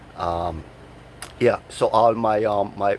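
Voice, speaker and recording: A man with a Jamaican accent talks at a very slow pace in a fairly low voice. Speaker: vlogger. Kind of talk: casual vlog monologue. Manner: repetitive stammering fillers.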